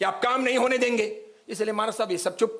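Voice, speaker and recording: There is audible room echo around a man speaking at a moderate pace. His pitch is extremely high, with ordinary pitch variation. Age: 60s. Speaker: Jain monk and preacher. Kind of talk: sermon. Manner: forceful, outspoken.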